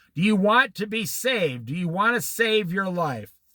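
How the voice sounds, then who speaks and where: A man's raised, projected voice with an American accent, bright, sharp tone and fairly slow pace. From US Midwest, Iowa. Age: 60s. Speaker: Bible teacher. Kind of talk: Bible study. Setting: outdoors by a lake.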